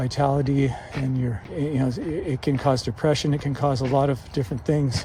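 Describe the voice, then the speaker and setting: Speech at a fairly quick pace comes through over noticeable background noise. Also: man. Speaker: vlogger with Parkinson's disease. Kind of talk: casual vlog monologue. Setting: outdoors on a mountain. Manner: low volume, little inflection; halting with repetitions.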